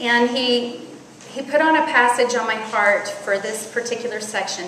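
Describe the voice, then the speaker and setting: Moderate-paced speech from a woman amid noticeable background noise and audible room echo. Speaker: women's conference speaker. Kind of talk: sermon. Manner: loud.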